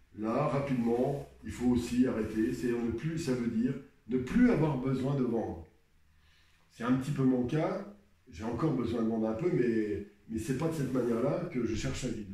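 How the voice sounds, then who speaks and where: A man with a dark, mellow tone and medium pitch sounds somewhat breathy, with audible room echo. He keeps a moderate pace and ordinary pitch variation. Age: 60s. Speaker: painter. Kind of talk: advice talk. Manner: halting.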